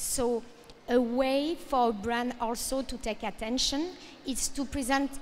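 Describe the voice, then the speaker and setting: A woman with a French accent and high pitch, fairly even intonation and a fairly slow pace. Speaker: fashion industry speaker. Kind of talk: panel presentation. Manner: halting.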